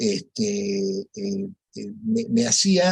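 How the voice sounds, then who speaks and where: A man's high-pitched voice with very wide pitch swings, in a dry, close sound with no echo. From Peru. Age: 70s. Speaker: rosary group founder. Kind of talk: radio interview testimony.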